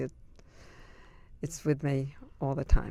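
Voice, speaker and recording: A woman speaks with a New York accent. Her pace is moderate. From Brooklyn, New York. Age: 70s. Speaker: interviewee. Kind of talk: oral history interview. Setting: recording booth.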